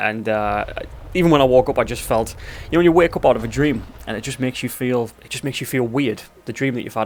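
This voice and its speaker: A man with a Newcastle accent at medium pitch, very fast pace and ordinary pitch variation, over noticeable background noise. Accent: regional Geordie. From northern England, Tyneside. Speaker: gaming video creator. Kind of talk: let's play gaming commentary. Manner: casual, rambling with fillers.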